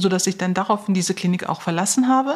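A woman speaks with a somewhat breathy voice. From Germany, Neuss (Lower Rhine), Turkish family. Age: 40s. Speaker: heart surgeon. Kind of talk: interview.

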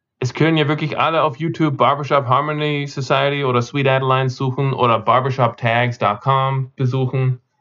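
With music in the background, a man speaks at medium pitch and a moderate pace in a flat monotone, keeping his loudness very even and hardly pausing. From Austria, Vienna and Carinthia, with American roots. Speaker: barbershop singer and expert. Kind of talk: interview.

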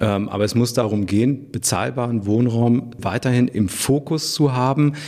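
A man with an ordinary speaking voice talks at medium pitch, showing ordinary pitch variation. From Germany, Hanover. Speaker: mayor. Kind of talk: interview.

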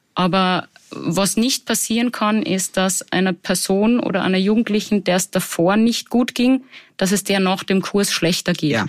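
A woman speaks at a medium pitch and a moderate pace with a Salzburg accent and ordinary pitch variation. Her loudness stays very even in a very clean recording with a silent background. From Austria, Salzburg. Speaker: psychologist. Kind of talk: interview. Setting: studio.

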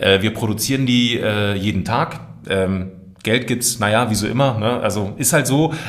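A man with an unremarkable speaking voice talks at a moderate pace and medium pitch, with ordinary pitch variation and very even loudness. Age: 30s. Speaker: voice artist and video creator. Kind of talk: casual interview chat. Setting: studio.

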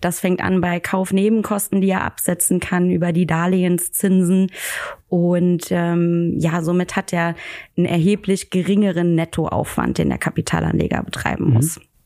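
In a very clean recording with a silent background, a woman speaks with a fairly low pitch, a dark, mellow tone, and monotone, flat intonation. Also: moderate pace, very even loudness. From Germany, near Koblenz. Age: 20s. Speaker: financial advisor. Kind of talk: podcast interview.

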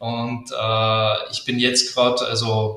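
In audible room echo, a man with a slight Austrian accent speaks at a medium pitch with a bright, sharp tone. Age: 20s. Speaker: agency founder. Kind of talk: interview. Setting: live video stream. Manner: many fillers (äh, ähm).

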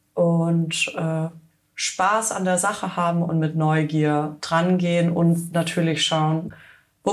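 A woman with a fairly low pitch speaks in a monotone, flat intonation amid audible room echo. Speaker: fashion startup founder. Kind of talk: podcast interview. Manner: casual with frequent fillers.

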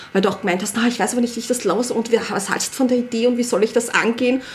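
Noticeable background noise behind a woman's high voice. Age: 40s. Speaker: early childhood educator. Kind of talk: casual chat.

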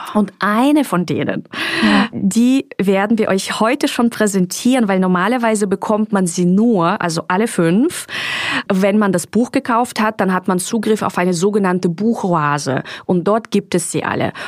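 A woman's medium-pitched voice at a moderate pace, very even in loudness, with ordinary pitch variation and noticeable background noise. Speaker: podcast host and author. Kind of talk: guided meditation; casual chat. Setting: recorded in Mallorca.

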